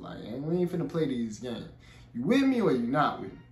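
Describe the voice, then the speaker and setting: A man is speaking. There is audible room echo. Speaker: reaction youtuber. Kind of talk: casual vlog chat. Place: home room.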